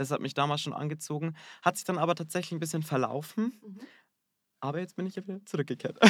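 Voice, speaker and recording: A man talks with ordinary pitch variation. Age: 20s. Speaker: hairdresser. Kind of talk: interview. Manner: hesitant, many fillers.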